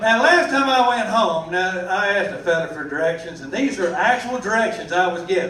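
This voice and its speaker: A man with a Texan accent, high-pitched and animated, lively intonation at a moderate pace, with audible room echo and noticeable background noise. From Texas. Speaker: stand-up comedian, military service member. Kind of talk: stand-up. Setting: stage with audience.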